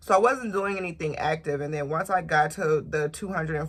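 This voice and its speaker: Somewhat breathy and very deep, a woman's voice moves at a fairly quick pace with ordinary pitch variation. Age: 20s. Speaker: lifestyle and beauty vlogger. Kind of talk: casual vlog talk to camera.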